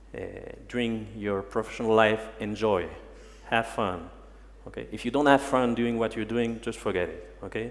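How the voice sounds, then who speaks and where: A man with a French accent at medium pitch, moderate pace and fairly even intonation, with audible room echo. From France, Paris. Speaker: human resources manager. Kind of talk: conference talk. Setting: stage with audience. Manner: halting.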